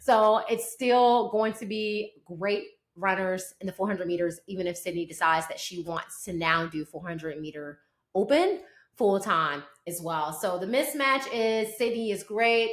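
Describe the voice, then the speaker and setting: A woman's animated, medium-pitched voice in a Southern US accent, with lively intonation at a moderate pace. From US South. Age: 40s. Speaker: sports podcast host. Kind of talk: sports commentary podcast.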